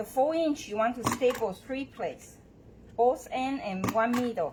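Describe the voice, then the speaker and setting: A woman talks with a strong Taiwanese accent at a fairly slow pace. Her pitch is high, with ordinary variation. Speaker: bow maker demonstrator. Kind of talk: live tutorial. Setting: showroom, livestream.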